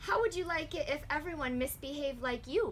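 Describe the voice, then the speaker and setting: A put-on character voice with a gentle tone moves at a fairly quick pace. Clear background noise can be heard. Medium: read story. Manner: gentle, reasonable.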